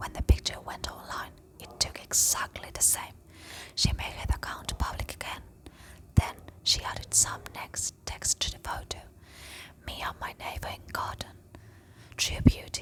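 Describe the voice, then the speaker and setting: Whispered speech with long, frequent pauses over noticeable background noise. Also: woman, big swings in loudness. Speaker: ASMR storyteller. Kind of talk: story reading. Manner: slow, soft-spoken.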